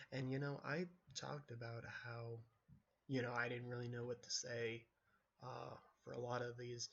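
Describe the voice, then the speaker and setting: A soft-spoken man talks at a moderate pace and a medium pitch, in a monotone, flat intonation. He leaves long, frequent pauses. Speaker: solo vlogger. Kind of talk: casual monologue. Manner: laid back, relaxed. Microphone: recording very quiet, mic not picking up voice.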